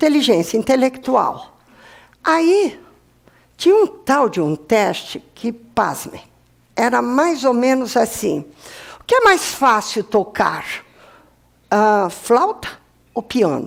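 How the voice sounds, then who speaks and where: Slowly and with long, frequent pauses, a woman speaks at a high pitch with very wide pitch swings. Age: 60s. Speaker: professor. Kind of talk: lecture.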